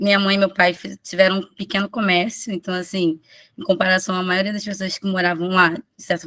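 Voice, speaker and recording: Speaking at a fairly quick pace, a woman has a bright, sharp tone, recorded with a dry, close sound and no echo. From Rio de Janeiro, Manguinhos favela. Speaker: preschool teacher presenting research. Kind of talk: conference presentation. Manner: halting, many restarts.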